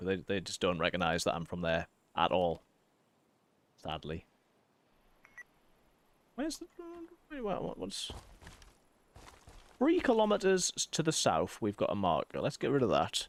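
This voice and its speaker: With a Yorkshire accent, a man speaks at a moderate pace. He leaves long, frequent pauses. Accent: mild Yorkshire. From Yorkshire, England.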